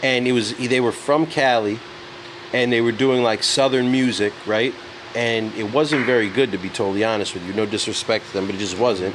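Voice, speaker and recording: A man with a New York accent talks at a fairly quick pace and medium pitch, with ordinary pitch variation and noticeable background noise. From New York City. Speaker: music entrepreneur. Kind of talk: casual chat. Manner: animated.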